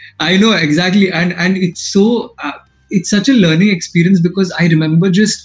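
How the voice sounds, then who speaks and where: A man with an Indian accent, high-pitched, with fairly even intonation and a moderate pace. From Maharashtra, India. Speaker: podcast host. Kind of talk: casual interview chat.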